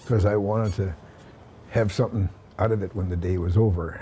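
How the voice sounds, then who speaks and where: The speaker has a Canadian prairie accent. The pace is moderate and the intonation fairly even. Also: man. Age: 70s. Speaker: milk hauler, truck driver. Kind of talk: interview answer.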